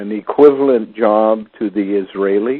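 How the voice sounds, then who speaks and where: A man talks at a very slow pace in a fairly low pitch. His intonation is fairly even. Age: 60s. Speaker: conspiracy theorist talk host. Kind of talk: casual chat.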